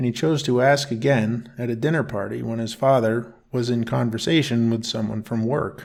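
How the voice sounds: The clip has a natural reading voice. The speaker reads aloud.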